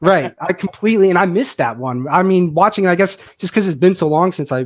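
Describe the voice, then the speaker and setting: In a very clean recording with a silent background, a man with an American accent speaks very fast and with ordinary pitch variation. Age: 30s. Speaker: podcast co-host. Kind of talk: casual chat.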